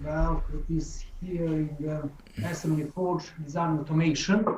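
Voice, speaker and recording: Someone with a non-native accent speaks at a fairly slow pace in a monotone, flat intonation amid noticeable background noise. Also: man, fairly high pitch for a man. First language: not English. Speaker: software developer. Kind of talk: technical question on a call. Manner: halting.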